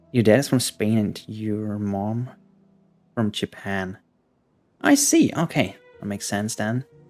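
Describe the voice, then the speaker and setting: Music plays in the background as a man with a fairly low pitch speaks at a fairly slow pace. He uses fairly even intonation, with long, frequent pauses. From Germany. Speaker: gaming streamer. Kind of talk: casual chat. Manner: casual with fillers.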